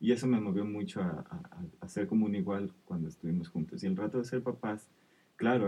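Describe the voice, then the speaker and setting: At a fairly quick pace, a man with a fairly low pitch speaks using very wide pitch swings. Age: 30s. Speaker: father. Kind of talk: casual chat.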